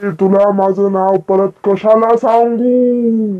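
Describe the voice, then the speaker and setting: It's a put-on character voice pitched fairly high. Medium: comedy sketch. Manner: menacing, mocking.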